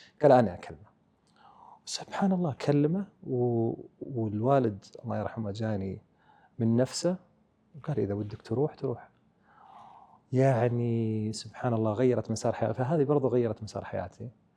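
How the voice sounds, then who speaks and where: A man with an Arabic accent, at a moderate pace, with ordinary pitch variation and long, frequent pauses. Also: medium pitch for a man. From Saudi Arabia, Eastern Province. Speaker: business leader. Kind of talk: interview. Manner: Arabic-English code-switching.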